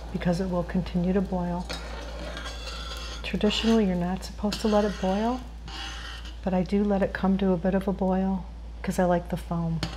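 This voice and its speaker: Soft-spoken, a woman talks at a moderate pace with noticeable background noise behind her. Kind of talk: ASMR cooking tutorial.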